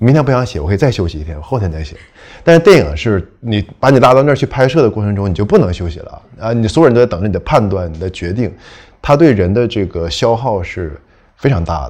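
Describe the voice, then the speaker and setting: Speaking very fast in a northeastern Chinese accent, a man swings very widely in pitch and sharply in loudness. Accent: northeastern Mandarin. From northeast China. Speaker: novelist. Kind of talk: panel discussion, casual talk. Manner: rambling, hesitant, laid-back.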